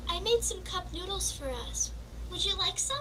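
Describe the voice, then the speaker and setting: A squeaky, cartoonish character voice moves at a moderate pace against loud background noise. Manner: stammering, hesitant.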